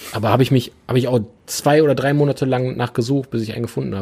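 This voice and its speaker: Here a man uses a normal speaking voice at medium pitch. He moves at a fairly quick pace with ordinary pitch variation. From Ruhr area, Oberhausen (western Germany). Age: 30s. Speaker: business owner (car apparel brand). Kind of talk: casual chat.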